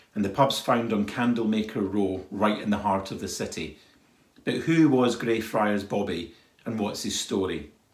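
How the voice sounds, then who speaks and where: With audible room echo, a man in an Edinburgh accent talks at a moderate pace, his fairly low pitch showing ordinary variation. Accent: Edinburgh Scottish. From Scotland, Edinburgh. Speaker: travel company staff, tour guide. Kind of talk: documentary storytelling.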